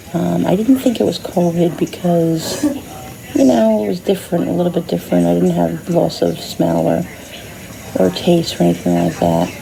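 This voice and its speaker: Over noticeable background noise, a woman with a very deep, low pitch talks at a moderate pace with very wide pitch swings. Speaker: vlogger. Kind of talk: casual vlog talk. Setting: hospital room. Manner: soft-spoken, lower than normal.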